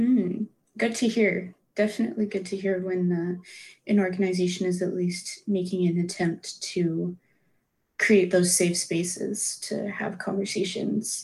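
A somewhat breathy woman at a fairly slow pace, monotone and flat in intonation. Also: medium pitch for a woman. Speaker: student podcast host. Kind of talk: interview; scripted outro.

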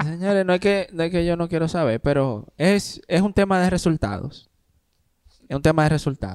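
In a very clean recording with a silent background, a man talks at a moderate pace in a high voice. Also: ordinary pitch variation. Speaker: podcast co-host. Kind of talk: casual chat.

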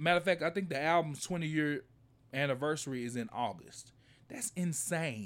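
A man with a fairly high pitch and lively intonation uses a normal speaking voice, captured in a very clean recording with a silent background. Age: 30s. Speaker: music compilation producer. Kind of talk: casual chat. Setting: studio.

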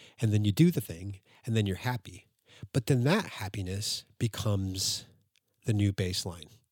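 A somewhat breathy voice at a moderate pace with ordinary pitch variation, in a very clean, dry, close recording with a silent background and no echo. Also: man. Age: 40s. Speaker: podcast host. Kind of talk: casual solo monologue. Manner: halting, many fillers and restarts.

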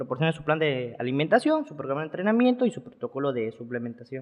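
A man speaks in a plain, everyday voice with a fairly high pitch. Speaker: bodybuilder and nutritionist. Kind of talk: casual interview. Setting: studio.

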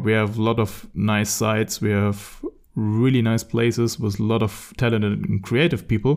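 A man talks with a German accent at a fairly low pitch. The recording is very clean, with a silent background. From Germany. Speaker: podcast host. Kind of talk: casual chat.

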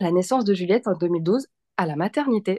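Here a woman talks at a moderate pace with medium pitch and an animated tone. The sound is dry and close, with no echo. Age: 30s. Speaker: mother sharing birth story. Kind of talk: testimony.

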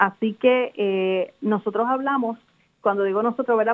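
An ordinary speaking voice from a woman at medium pitch, with fairly even intonation and a moderate pace. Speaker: university professor and senate candidate. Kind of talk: radio interview.

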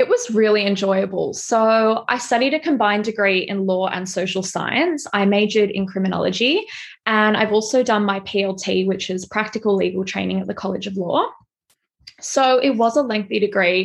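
A woman talks at a fairly quick pace in an ordinary speaking voice at a medium pitch. Her pitch varies in an ordinary way, and the background is quiet. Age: 20s. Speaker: fashion stylist and content creator. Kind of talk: interview.

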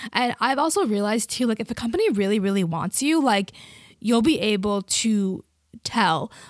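A woman speaks at a moderate pace in a fairly high voice, her tone animated and her intonation lively, with a dry, close sound and no echo. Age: 20s. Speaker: personal finance podcaster. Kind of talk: casual solo monologue.

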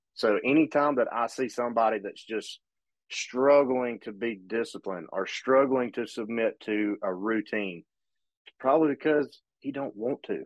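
A man with an Alabama accent speaks at a medium pitch. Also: ordinary pitch variation, moderate pace. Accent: Southern US (Alabama). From US South, northern Alabama. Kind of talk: casual chat.

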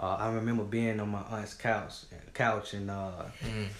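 A man with a Southern US accent and fairly low pitch, plus audible room echo. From Georgia, US South (Griffin). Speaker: nonprofit founder. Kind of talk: interview.

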